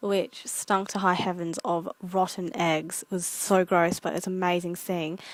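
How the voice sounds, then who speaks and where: A woman in an Australian accent at a moderate pace, the sound dry and close with no echo. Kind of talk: casual vlog narration.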